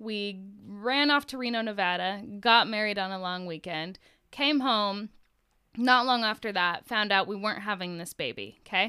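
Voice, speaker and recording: This woman's tone is bright and sharp. The background is silent on this very clean recording. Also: medium pitch for a woman, ordinary pitch variation, moderate pace. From Washington State, US Pacific Northwest. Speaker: podcast guest, mother. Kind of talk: casual chat.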